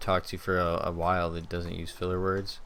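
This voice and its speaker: Speaking with an American accent, a man has a very deep, low pitch. Room echo is audible. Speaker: gaming YouTuber. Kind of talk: gameplay commentary. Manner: many filler words.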